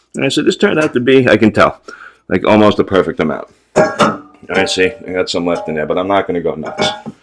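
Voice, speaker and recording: Music can be heard behind the speech. This man talks very fast. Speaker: wet shaving youtuber. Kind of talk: tutorial. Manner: casual.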